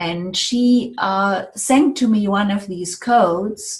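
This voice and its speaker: Woman with a German accent, somewhat breathy and medium in pitch, with lively intonation at a very slow pace. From Germany. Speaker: sound healing therapist. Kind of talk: interview.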